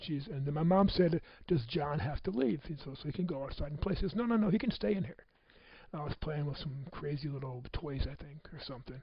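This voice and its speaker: Speaking with an American accent, a man sounds somewhat breathy, his pitch varying in an ordinary way. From US Midwest (Michigan City, Indiana). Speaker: motivational speaker. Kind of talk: personal testimony talk.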